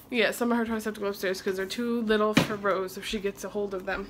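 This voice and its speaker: Loud background noise runs under the clip. A woman speaks at a very fast pace. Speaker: mother vlogger. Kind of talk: casual vlog chat. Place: kitchen. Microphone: phone near.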